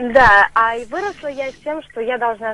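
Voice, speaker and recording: The speaker is a woman. Her pitch is fairly high. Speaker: caller. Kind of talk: radio phone-in consultation. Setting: phone call. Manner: halting.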